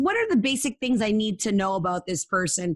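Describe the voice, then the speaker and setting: A woman with an ordinary speaking voice and lively intonation speaks at a moderate pace against a quiet background. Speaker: matchmaker and online dating expert. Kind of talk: interview.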